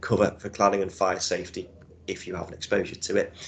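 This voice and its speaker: Over a quiet background, a man with a Liverpool accent talks at a fairly quick pace. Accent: Scouse. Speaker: insurance broker. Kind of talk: webinar presentation. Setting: room with audience.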